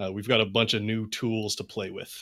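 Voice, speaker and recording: An unremarkable speaking voice, a man with a fairly low pitch talks at a moderate pace on a very clean recording with a silent background. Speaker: podcast host and game master. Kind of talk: casual chat.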